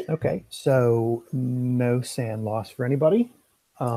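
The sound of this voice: The delivery is an unforced reading voice. Behind it the background is quiet.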